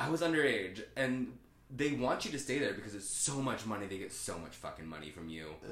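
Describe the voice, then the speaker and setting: Very wide pitch swings and big swings in loudness, with an American accent, a fairly quick pace and audible room echo. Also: man, medium pitch for a man. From Southern California. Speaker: actor. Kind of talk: casual chat.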